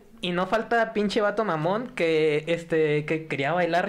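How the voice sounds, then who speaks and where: A fairly slow pace with noticeable background noise behind it. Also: man, hardly any pauses, very even loudness. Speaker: podcast guest. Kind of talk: casual chat. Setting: studio with live audience.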